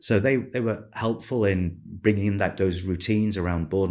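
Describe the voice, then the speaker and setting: A man talks at a moderate pace with fairly even intonation. His recording is very clean, the background silent. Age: 50s. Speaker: retail business founder and former chief executive. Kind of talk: interview. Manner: measured, with frequent fillers.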